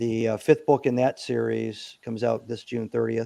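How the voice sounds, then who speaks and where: A man is speaking. His pace is moderate. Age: 60s. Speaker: Navy SEAL veteran and company CEO. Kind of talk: interview. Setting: podcast interview.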